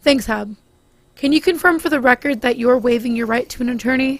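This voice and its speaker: A woman uses a put-on character voice, raspy and high-pitched. She talks at a fairly quick pace. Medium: audio drama. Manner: calm, formal.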